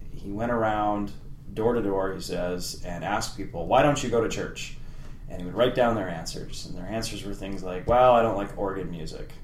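Man with a western Canadian accent and lively intonation, amid noticeable background noise and audible room echo. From Canada, Medicine Hat, Alberta. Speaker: political science professor. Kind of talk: interview.

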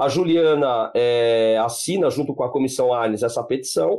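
This man's voice has a dark, mellow quality. He talks fairly fast. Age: 50s. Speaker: law professor and genocide researcher. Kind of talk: podcast interview.

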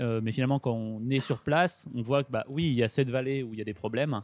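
Keeping his intonation fairly even, a man talks at a very fast pace. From Grenoble, France. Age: 20s. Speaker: cycle traveller. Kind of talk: interview.

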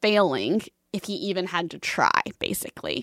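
In an American accent, a woman speaks at a medium pitch with vocal fry, and the sound is dry and close with no echo. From Texas, Fort Worth. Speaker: mom blogger. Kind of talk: casual interview.

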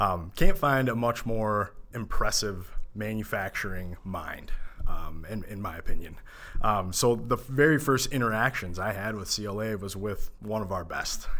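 With an Upper Midwest accent, a man talks at a moderate pace in a bright, sharp tone, his pitch fairly low with ordinary variation and his loudness swinging widely. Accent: Upper Midwest American. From Minnesota, Minneapolis suburbs. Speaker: accountant. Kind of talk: podcast interview.

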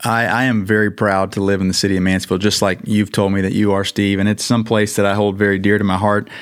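Delivered at a very fast pace with hardly any pauses, the voice holds very even loudness and a monotone, flat intonation over noticeable background noise. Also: man, fairly low pitch for a man. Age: 40s. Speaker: marathon runner. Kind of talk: interview. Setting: studio.

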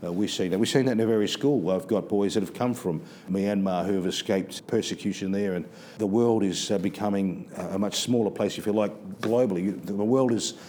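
Speaking in an Australian accent, a man talks at a fairly quick pace and fairly low pitch with ordinary pitch variation. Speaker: school principal. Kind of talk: interview. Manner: halting, with frequent repetitions.

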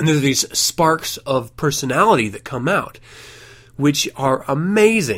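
Fairly high in pitch, a man's voice carries vocal fry and very wide pitch swings. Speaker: podcast host. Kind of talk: casual podcast monologue.

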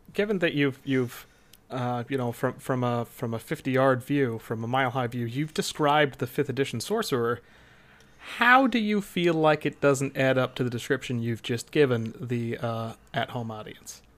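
In a normal speaking voice, a man talks at a moderate pace and medium pitch. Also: ordinary pitch variation. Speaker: podcast co-host. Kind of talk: casual chat with banter. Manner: jokey, rambling.

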